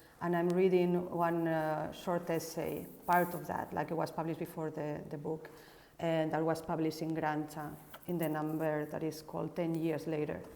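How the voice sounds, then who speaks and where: Over noticeable background noise, a woman with a very deep, low pitch talks with monotone, flat intonation. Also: moderate pace. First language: Spanish. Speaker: architect and researcher. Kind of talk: casual introduction; reading aloud. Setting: Instagram live broadcast.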